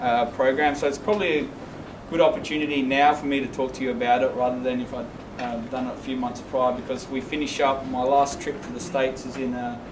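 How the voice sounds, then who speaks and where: Noticeable background noise sits behind the voice. A man speaks with fairly even intonation. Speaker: teacher giving a presentation. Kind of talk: presentation to colleagues. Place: classroom. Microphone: camera far.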